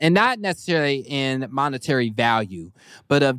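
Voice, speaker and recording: A man's medium-pitched voice with an American accent, animated tone and lively intonation at a moderate pace, in a very clean, dry, close recording with no echo and a silent background. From Kansas. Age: 20s. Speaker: internet comedian and TV personality. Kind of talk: casual chat.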